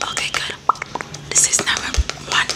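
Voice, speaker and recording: A woman whispers with music in the background. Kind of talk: ASMR roleplay talk. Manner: soft, close-mic ASMR speaking. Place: home room. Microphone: studio mic.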